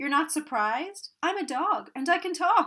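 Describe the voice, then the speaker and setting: Put-on character voice from a woman, extremely high in pitch, moderate pace. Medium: read story. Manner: cheeky.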